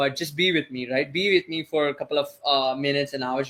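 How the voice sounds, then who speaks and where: Bright and sharp in tone, the man's voice has a fairly high pitch. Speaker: online course instructor. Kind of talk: live webinar Q&A. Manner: fast.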